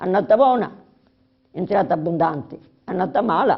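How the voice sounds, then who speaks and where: Vocal fry marks a woman's speech, which has lively intonation. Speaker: interviewee recalling childhood. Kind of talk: interview. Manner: halting, many fillers.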